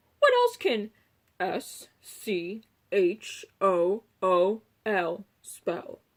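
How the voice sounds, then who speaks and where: A put-on character voice drawls along at a very slow pace. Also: woman, medium pitch for a woman. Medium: read story. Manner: pompous, fussy.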